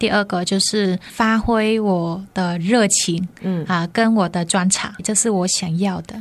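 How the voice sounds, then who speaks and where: A woman talks very slowly at medium pitch with hardly any pauses. Her intonation is fairly even. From northern Vietnam, Hanoi. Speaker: yoga teacher and Vietnamese teacher. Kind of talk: radio interview; yoga instruction.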